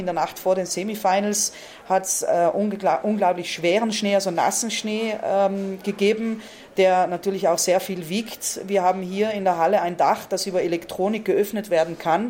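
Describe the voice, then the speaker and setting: A woman talks with a South Tyrolean accent and fairly even intonation. Noticeable background noise is present. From Val Gardena, South Tyrol, Italy. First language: Ladin (speaking German). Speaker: tournament organizer. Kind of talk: interview.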